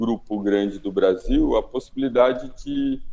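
A man speaks with a Brazilian accent. His tone is dark and mellow, with ordinary pitch variation. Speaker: anthropologist and author. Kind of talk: interview. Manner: hesitant, many fillers.

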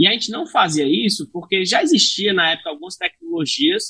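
A man projects a raised voice at a high pitch with a bright, sharp tone. His pitch swings very widely at a fairly quick pace. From Brazil, Fortaleza, Ceará. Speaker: tech startup founder and CEO. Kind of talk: podcast interview.

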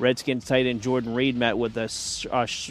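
A man's medium-pitched voice at a very fast pace, with music in the background. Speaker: sports news anchor. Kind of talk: news reading.

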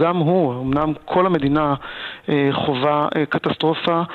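This voice moves at a very slow pace with monotone, flat intonation. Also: man. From Israel, Gaza border area. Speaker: assisted living director. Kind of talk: radio interview. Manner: halting, many fillers.

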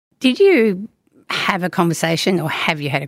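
Speaking with an Australian accent, a woman uses a fairly low pitch and lively intonation. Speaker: podcast host, parenting educator. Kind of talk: casual chat. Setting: studio.

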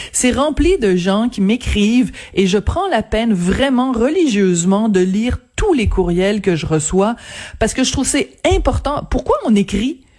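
A normal speaking voice from a woman, fairly high in pitch, with lively intonation, very even loudness and a fairly slow pace. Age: 50s. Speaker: newspaper columnist. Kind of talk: radio interview.

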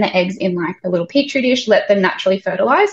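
A woman speaks at medium pitch with an Australian accent and lively intonation. Her voice is somewhat breathy. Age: 20s. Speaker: childcare worker and mother. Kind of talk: casual chat.

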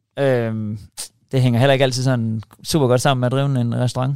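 Very fast speech from a man, the intonation fairly even. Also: long, frequent pauses. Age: 40s. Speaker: chef and YouTuber. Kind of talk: casual interview.

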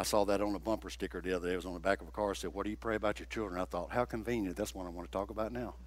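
Very fast speech with very wide pitch swings and vocal fry. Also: man, very deep, low pitch for a man, hardly any pauses. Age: 60s. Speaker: guest preacher. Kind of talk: sermon. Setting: church.

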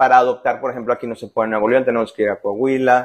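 A man speaks at a medium pitch. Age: 40s. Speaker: stay-at-home father. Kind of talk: interview. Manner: halting.

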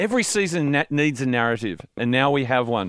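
Lively intonation marks this man's speech, delivered with an Australian accent. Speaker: radio sports show host. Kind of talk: casual radio banter. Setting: radio studio.

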